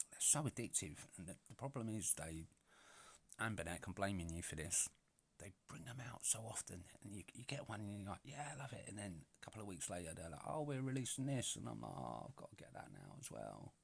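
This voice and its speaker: A man with a British accent talks at a fairly low pitch with vocal fry. His pitch swings very widely. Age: 40s. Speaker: retro gaming YouTuber. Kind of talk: casual product overview. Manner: chatty, many filler words. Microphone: poor microphone sound.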